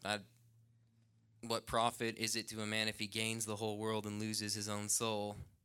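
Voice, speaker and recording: A man with an American accent speaks at a moderate pace in a fairly low pitch, his bright, sharp tone delivered in a monotone, flat intonation on a very clean recording with a silent background. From The Dalles, Oregon. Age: 20s. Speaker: ministry student. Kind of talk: testimony.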